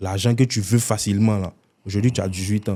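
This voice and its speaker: The tone is dark and mellow, with fairly even intonation. The recording is very clean with a silent background. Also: man. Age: 20s. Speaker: content creator, prankster. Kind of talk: interview.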